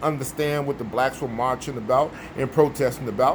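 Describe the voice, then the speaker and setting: A man talks at a fairly quick tempo. Noticeable noise fills the background. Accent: American. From US Midwest, Chicago. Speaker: vlogger. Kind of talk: casual monologue.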